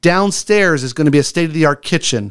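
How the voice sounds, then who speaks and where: Speaking at a very fast pace, the man has a fairly high pitch. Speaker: homeless mission executive director. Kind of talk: radio interview. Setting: radio studio. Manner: loud and animated when excited.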